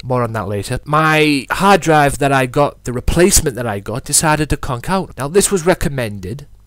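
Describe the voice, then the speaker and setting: Over noticeable background noise, a man speaks at a fairly quick pace in a fairly high voice, his tone animated and his pitch variation ordinary. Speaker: wrestling podcast host. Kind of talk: wrestling promo-style podcast monologue. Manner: showy, over-the-top.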